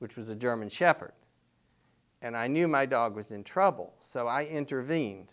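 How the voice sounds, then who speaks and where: A man with a North Carolina accent and a medium pitch speaks in a relaxed tone at a fairly slow pace, with lively intonation. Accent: Southern US, North Carolina. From US South, North Carolina (Apex). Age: 60s. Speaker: local resident sharing memories. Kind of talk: storytelling interview. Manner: relaxed, conversational with fillers.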